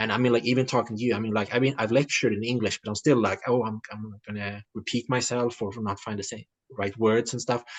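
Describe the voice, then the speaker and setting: In a Swedish accent, a man speaks at a very fast pace. His intonation is monotone and flat. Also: medium pitch for a man. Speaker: writer. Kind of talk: interview. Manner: halting, many fillers and repetitions.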